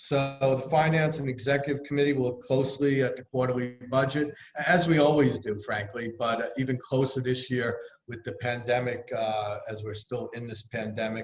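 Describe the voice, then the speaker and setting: A man in a Bronx accent, medium pitch, fairly even intonation, moderate pace and big swings in loudness, with noticeable background noise. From New York City, the Bronx. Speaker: treasurer of a neighborhood business group. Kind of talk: financial report at a virtual annual meeting. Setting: video call.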